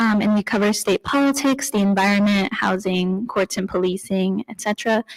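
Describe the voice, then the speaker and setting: A soft-spoken woman with an American accent talks with fairly even intonation, the sound dry and close with no echo. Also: medium pitch for a woman, moderate pace. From US, northern Idaho (Coeur d'Alene). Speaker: journalist. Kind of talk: panel talk.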